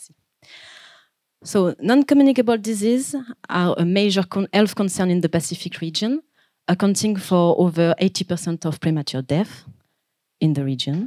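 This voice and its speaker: With long, frequent pauses, a woman speaks in a French accent at a medium pitch, her tone dark and mellow and her intonation lively, in a dry, close sound with no echo. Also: big swings in loudness. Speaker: PhD researcher. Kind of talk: conference presentation. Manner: fast; hesitant, many fillers.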